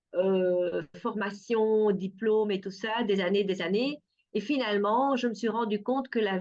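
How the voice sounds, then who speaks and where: A woman's medium-pitched voice with a Dutch accent at a fairly slow pace. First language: Dutch (speaking French). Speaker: perfumer and art therapist. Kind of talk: interview. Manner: hesitant, many fillers.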